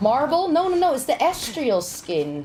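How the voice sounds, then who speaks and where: The voice moves at a fairly slow pace with very wide pitch swings, over noticeable background noise. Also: woman. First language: Dutch. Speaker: game streamer. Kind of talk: live gaming stream chat. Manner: casual, halting.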